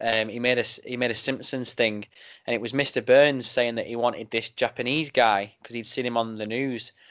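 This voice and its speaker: Someone with an English accent speaks at a fairly quick pace in a monotone, flat intonation, in a very clean recording with a silent background. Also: man. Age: 20s. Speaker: wrestling podcaster. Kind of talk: casual chat.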